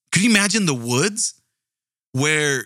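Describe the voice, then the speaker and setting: Lively intonation and an animated tone mark this voice with an American accent. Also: man. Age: 40s. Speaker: true crime podcast host. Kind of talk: casual storytelling monologue.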